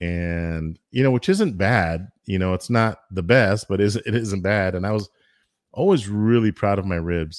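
In a very clean recording with a silent background, a man with an American accent and an ordinary speaking voice talks fairly slowly at a fairly low pitch, with ordinary pitch variation. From Texas, El Paso. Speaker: barbecue food truck owner and YouTuber. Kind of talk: casual interview chat.

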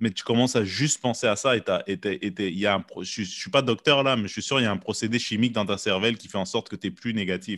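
The delivery is very fast, with hardly any pauses. The recording is very clean with a silent background, and the sound is dry and close with no echo. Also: man, medium pitch for a man, ordinary pitch variation. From Quebec, Montreal. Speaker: podcast host and comedian. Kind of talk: casual chat.

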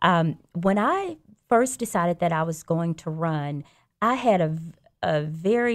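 In a Southern US accent, a woman talks with lively intonation on a very clean recording with a silent background. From Alabama, Birmingham. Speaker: judge. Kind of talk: radio interview. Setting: studio.

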